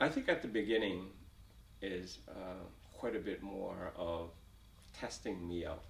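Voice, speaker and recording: At a fairly slow pace, a man with a fairly low pitch speaks with ordinary pitch variation and long, frequent pauses, and room echo is audible. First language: Vietnamese. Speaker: refugee, company executive. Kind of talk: oral history interview. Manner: halting, many fillers and repetitions.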